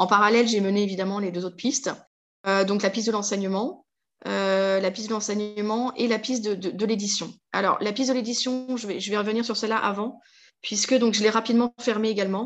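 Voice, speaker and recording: The delivery moves at a fairly quick pace with fairly even intonation. The background is quiet. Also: woman, fairly high pitch for a woman. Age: 40s. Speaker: vocational trainer, former marketing officer. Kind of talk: interview testimony. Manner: hesitant, many fillers and repetitions.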